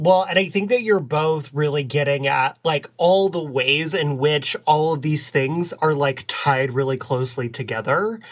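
With an American accent, a man has a plain, everyday voice, fairly high in pitch with ordinary pitch variation, moving at a fairly slow pace with hardly any pauses. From Texas, US South. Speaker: podcast co-host. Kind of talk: casual chat.

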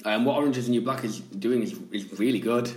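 Noticeable background noise sits under a man speaking at medium pitch with a Yorkshire accent. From Yorkshire, England. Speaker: podcast co-host. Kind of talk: casual chat. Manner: animated.

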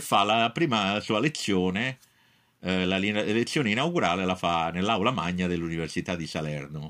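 Very clean recording, silent background. A man speaks at a moderate pace with a very deep, low pitch. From Naples, Italy. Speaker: professor. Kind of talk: testimony. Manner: halting.

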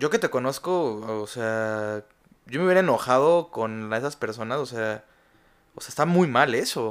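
A man with a medium pitch talks fairly slowly, his intonation lively. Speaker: podcast host. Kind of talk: casual chat.

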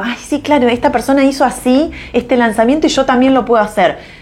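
The woman's speech moves fairly quickly. Noticeable background noise is present throughout. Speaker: business mentor. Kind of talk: live stream talk. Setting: live stream. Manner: hesitant, many fillers.

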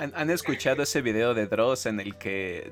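A man's medium-pitched voice with a Mexican accent at a moderate pace. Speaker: podcast co-host. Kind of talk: casual chat.

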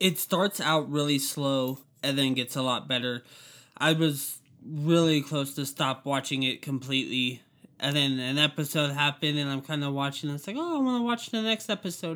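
On a very clean recording with a silent background, a man speaks at a moderate pace in a fairly high, bright, sharp voice with ordinary pitch variation. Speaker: guest. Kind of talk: casual chat.

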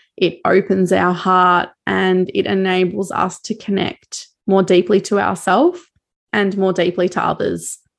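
In an Australian accent, a woman with a medium pitch talks at a fairly slow pace in a monotone, flat intonation against a quiet background. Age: 20s. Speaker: podcast host, cacao seller and cycle coach. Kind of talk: solo monologue.

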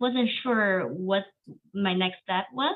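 A woman's medium-pitched voice with a Chinese accent, lively intonation and a very slow pace. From China. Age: 30s. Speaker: education professor. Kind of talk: interview.

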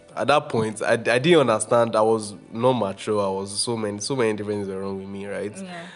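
Music plays in the background as a man talks at a fairly quick pace. His pitch is medium and his intonation lively. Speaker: podcast host, guest on own podcast. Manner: fast talker.

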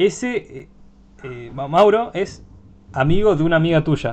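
With a normal speaking voice, a man talks at a fairly slow pace using lively intonation. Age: 20s. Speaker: podcast host. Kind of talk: casual chat.

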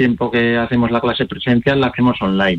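This is an unremarkable speaking voice from a man. His pitch is medium, with ordinary pitch variation. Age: 40s. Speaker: chess player and coach. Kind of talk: interview.

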